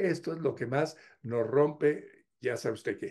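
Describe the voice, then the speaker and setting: Against a quiet background, a man with a dark, mellow tone speaks very slowly with ordinary pitch variation. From Mexico. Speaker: YouTuber. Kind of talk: humorous monologue. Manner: animated. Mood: humorous, warm. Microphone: webcam.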